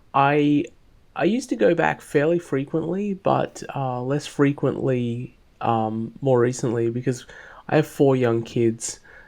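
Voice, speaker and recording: A man with an Australian accent speaks at a medium pitch. He goes at a fairly slow pace with ordinary pitch variation. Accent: Australian, kept. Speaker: author, bitcoin advocate. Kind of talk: interview conversation.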